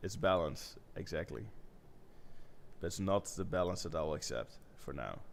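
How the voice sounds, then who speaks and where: With a non-native accent, a man talks at a moderate pace in a very deep, low pitch, using lively intonation, vocal fry, and long, frequent pauses. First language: not English. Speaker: web designer. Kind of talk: live-streamed design session.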